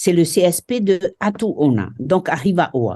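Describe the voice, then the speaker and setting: A woman with a French Polynesian accent speaks at a fairly low pitch in a dark, mellow tone. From Marquesas Islands, French Polynesia. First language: Marquesan (speaking French). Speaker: school inspector. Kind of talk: interview. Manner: halting, many hesitations.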